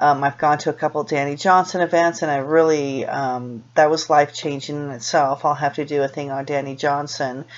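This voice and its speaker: With a Californian accent, a woman with a very deep, low pitch speaks at a fairly quick pace with fairly even intonation and hardly any pauses. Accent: General American, Californian. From US West Coast, Los Angeles. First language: Spanish. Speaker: vlogger. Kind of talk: personal vlog monologue. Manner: halting, many fillers and restarts.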